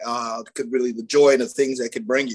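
A man talks at a medium pitch. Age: 40s. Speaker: former college athlete turned entrepreneur. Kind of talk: casual interview.

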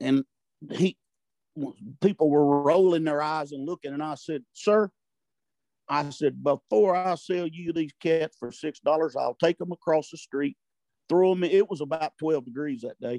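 With a Southern US accent, a man speaks at a fairly slow pace with long, frequent pauses. His fairly high voice has a dark, mellow tone and sounds dry and close with no echo. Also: ordinary pitch variation. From US South, Arkansas-Louisiana border. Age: 60s. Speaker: turkey call maker. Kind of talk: casual chat. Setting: video call.

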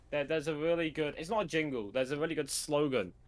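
With a British accent, a man speaks at a fairly high pitch in a bright, sharp tone with lively intonation. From Britain. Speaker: event organizer and video editor. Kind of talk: casual interview chat.

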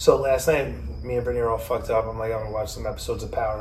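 A man with an American accent talks at a very fast pace, with audible room echo and noticeable background noise. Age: 40s. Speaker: podcast host. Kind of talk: casual chat.

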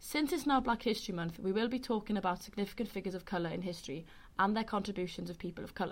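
A woman speaks in a Welsh accent at a very fast pace and a medium pitch. Her voice is somewhat breathy, with ordinary pitch variation. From West Wales, Carmarthen. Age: 20s. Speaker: student podcast host. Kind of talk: casual chat.

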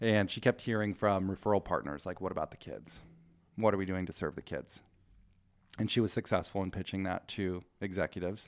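An ordinary speaking voice from a man, fairly low in pitch, fairly quick, with fairly even intonation, in a very clean recording with a silent background. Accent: American. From Southern Oregon, US Pacific Northwest. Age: 30s. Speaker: addiction treatment outreach worker. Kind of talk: interview.

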